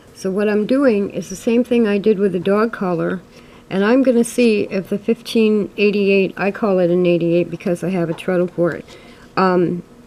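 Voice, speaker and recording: Over noticeable background noise, a woman speaks at a moderate pace with a medium pitch and ordinary pitch variation. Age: 60s. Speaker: sewing video creator. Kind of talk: tutorial. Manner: hesitant, frequent ums.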